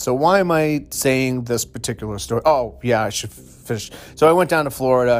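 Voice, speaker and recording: A man speaks at a moderate pace in a plain, everyday voice, with medium pitch and ordinary pitch variation. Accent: American. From Massachusetts. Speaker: podcast host. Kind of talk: casual monologue.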